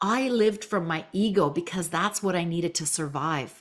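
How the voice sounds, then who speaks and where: At a moderate pace, a woman speaks in an unremarkable speaking voice, fairly low in pitch, with ordinary pitch variation. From Canada. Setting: remote recording.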